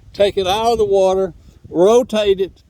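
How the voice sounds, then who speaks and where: A man talks in an East Texas accent with noticeable background noise behind him. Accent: Southern US (East Texas). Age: 70s. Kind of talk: casual video monologue. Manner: repetitive, stumbling restarts.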